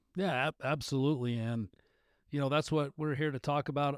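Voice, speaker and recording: Speaking with an American accent, a man has a normal speaking voice and ordinary pitch variation at a fairly quick pace. The very clean recording has a silent background and a dry, close sound with no echo. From northern Utah. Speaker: podcast host. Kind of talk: casual interview.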